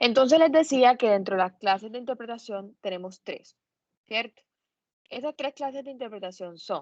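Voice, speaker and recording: A woman talks at a fairly slow pace with lively intonation, and the sound is dry and close with no echo. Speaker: law lecturer. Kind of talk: lecture. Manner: hesitant with fillers.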